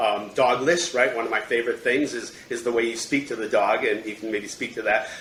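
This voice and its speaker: Against noticeable background noise, a man with an American accent talks at a fairly quick pace with fairly even intonation and hardly any pauses. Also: medium pitch for a man. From Michigan, US. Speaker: podcast host. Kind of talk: podcast interview.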